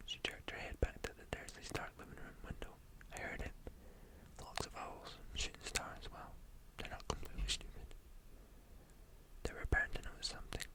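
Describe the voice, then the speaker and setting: Someone is whispering. The pace is moderate. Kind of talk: ASMR book reading to help sleep. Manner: soft whispering.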